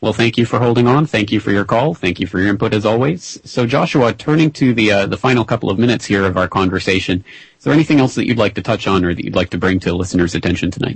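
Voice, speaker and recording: The voice is somewhat breathy, with lively intonation, a very fast pace, and hardly any pauses. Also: man, fairly low pitch for a man. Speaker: radio host. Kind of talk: radio interview.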